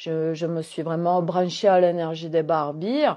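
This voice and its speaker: Speaking at a fairly slow pace, a woman talks with a southwestern French accent. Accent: Gers. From southwest France, Gers. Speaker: holistic coach. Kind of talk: casual monologue vlog. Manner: hesitant, many fillers; animated.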